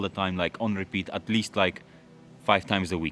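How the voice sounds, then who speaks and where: Music plays in the background as a man speaks fairly quickly in a very deep, low voice with monotone, flat intonation. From London. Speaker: car YouTuber. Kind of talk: casual Q&A chat. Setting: garage. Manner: casual, hesitant with fillers.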